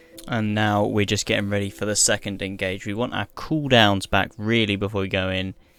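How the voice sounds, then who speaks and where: Speaking with a British accent, a man talks at a fairly quick pace in a fairly low pitch, his intonation fairly even. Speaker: gaming youtuber. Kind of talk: gameplay tutorial. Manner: casual, unscripted; fast.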